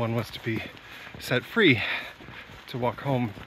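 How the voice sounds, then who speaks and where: Over light background noise, a man talks in a flat monotone, the sound dry with no echo. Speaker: hiker vlogger. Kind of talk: casual vlog chat. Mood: relaxed, amused. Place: forest. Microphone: phone near.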